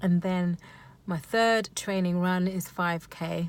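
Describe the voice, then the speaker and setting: Monotone, flat delivery on a very clean recording with a silent background. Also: woman. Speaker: amateur runner vlogger. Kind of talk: casual vlog recap. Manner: stuttering, many ums and ahs.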